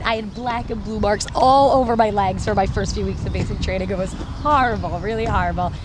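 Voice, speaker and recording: A woman with an American accent, audible room echo and noticeable background noise. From New York. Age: 20s. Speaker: soldier, shooting instructor. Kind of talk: personal testimony interview.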